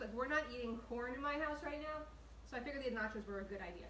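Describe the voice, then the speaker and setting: A woman speaks at a very fast pace and a high pitch. Audible room echo surrounds her voice. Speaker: home cooking show host. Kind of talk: live cooking tutorial. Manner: chatty, animated.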